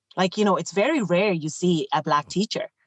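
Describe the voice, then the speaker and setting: A woman in a Clare Irish accent talks at a moderate pace with a fairly low pitch and ordinary pitch variation. The sound is dry and close, with no echo. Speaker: teacher and former trek leader. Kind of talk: podcast interview.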